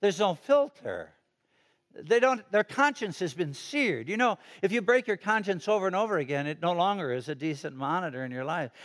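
A man with an American accent speaks at a fairly quick pace in a high voice with very wide pitch swings and an animated tone. The recording is very clean, with a silent background. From Chicago, US Midwest. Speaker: retired pastor. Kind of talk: sermon. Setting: church.

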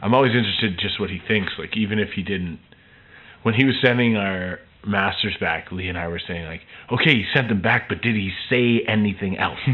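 Using an unremarkable speaking voice, a man talks at a fairly quick pace and fairly low pitch, with ordinary pitch variation. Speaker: singer-songwriter, band frontman. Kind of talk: casual interview.

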